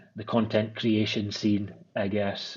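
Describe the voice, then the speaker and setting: With an Aberdeen accent, a man talks in a fairly low voice at a fairly slow pace. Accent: Scottish (Aberdeen). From Scotland, Aberdeen. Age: 30s. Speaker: menswear brand founder and designer. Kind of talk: podcast interview. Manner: hesitant, repeats words.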